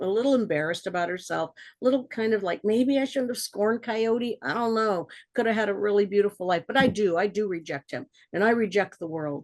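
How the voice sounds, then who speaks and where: A woman talks at a fairly quick pace with a medium pitch. Her pitch varies in an ordinary way. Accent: American. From southern California, Ojai Valley. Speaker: storyteller. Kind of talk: oral storytelling. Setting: webinar. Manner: animated.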